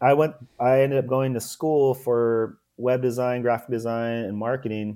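With a Californian accent, a man talks at a fairly slow pace and medium pitch. His tone is dark and mellow, and his intonation fairly even. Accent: Californian American. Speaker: ex-pro surfer turned entrepreneur. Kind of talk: casual interview.

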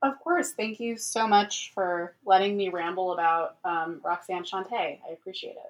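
A woman with a normal speaking voice at medium pitch, moderate in pace, with hardly any pauses, ordinary pitch variation and big swings in loudness. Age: 20s. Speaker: comedian. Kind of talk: casual chat. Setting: remote call.

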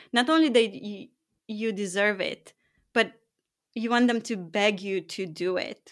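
A woman speaks at medium pitch with ordinary pitch variation. Her pace is fairly slow, with long, frequent pauses. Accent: non-native. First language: not English. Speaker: high performance coach and author. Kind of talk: interview conversation.

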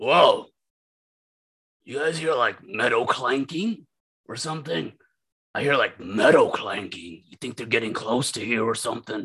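Putting on a raspy character voice at medium pitch, a man speaks at a moderate pace with lively intonation, long, frequent pauses and big swings in loudness. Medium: actual play.

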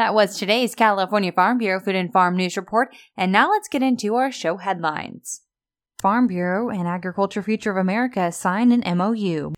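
A woman with an unremarkable speaking voice talks at a fairly quick pace and medium pitch with ordinary pitch variation on a very clean recording with a silent background. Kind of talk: radio news reading, brisk headline delivery. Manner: polished, upbeat, clear and even-paced.

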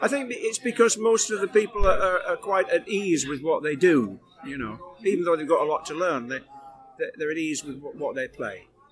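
Delivered at a moderate pace, the voice swings very widely in pitch over noticeable background noise. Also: man, high pitch for a man. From UK. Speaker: musician. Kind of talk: casual interview. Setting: backstage.

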